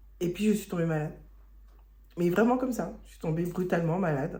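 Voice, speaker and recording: A woman speaks in a dark, mellow tone that is somewhat breathy. Audible room echo surrounds her voice. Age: 40s. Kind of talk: testimony. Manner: halting.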